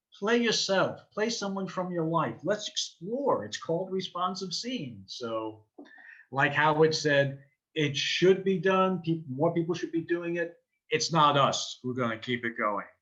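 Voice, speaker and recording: This man has a high, bright, sharp voice and a New York accent, speaking fairly slowly with lively intonation. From New York City (Queens). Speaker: improv teacher and performer. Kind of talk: interview.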